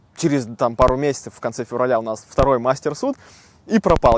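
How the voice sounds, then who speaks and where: A man at medium pitch and a fairly quick pace, in a dry, close sound with no echo. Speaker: vlogger. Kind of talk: casual vlog talk. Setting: outdoors in a park. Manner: conversational, informal.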